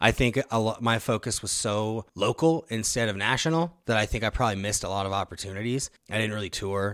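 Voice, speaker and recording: In a normal speaking voice with an American accent, the speaker talks at a fairly quick pace with ordinary pitch variation on a very clean recording against a silent background. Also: man, fairly low pitch for a man. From Nebraska (Omaha). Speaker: rapper. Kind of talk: casual chat.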